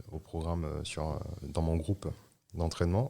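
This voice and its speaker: On a very clean recording with a silent background, a man's voice has a dark, mellow tone. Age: 30s. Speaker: hurdler and athletics coach. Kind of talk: interview. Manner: halting, many hesitations.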